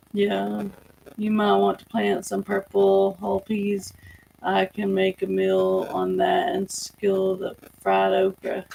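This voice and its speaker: A woman with a Southern US accent, speaking at a very slow pace. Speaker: farm channel co-host. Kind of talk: livestream chat.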